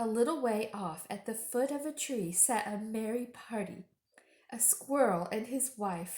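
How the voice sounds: A natural reading voice, its pitch varying in an ordinary way.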